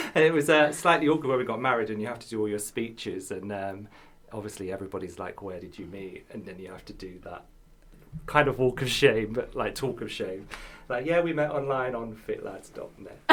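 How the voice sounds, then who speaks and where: A man with a southern English accent talks at a fairly quick pace with lively intonation. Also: medium pitch for a man, big swings in loudness. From southern England, Kent. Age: 30s. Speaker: actor and model. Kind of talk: casual chat.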